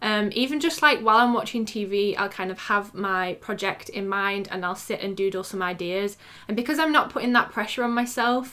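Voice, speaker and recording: Fairly quick and with hardly any pauses, the speech comes in a British accent with a bright, sharp tone. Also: woman, medium pitch for a woman, ordinary pitch variation. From England. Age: 20s. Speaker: freelance graphic designer and YouTuber. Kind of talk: casual talk to camera.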